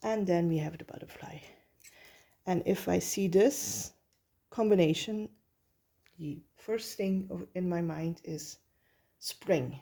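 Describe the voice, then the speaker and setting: In a Flemish accent, a woman speaks at a very slow pace with long, frequent pauses. Her fairly low voice has a dark, mellow tone and lively intonation. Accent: Flemish Dutch accent in English. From Belgium. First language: Dutch. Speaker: tarot reader. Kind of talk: tarot reading. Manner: halting, many filler sounds.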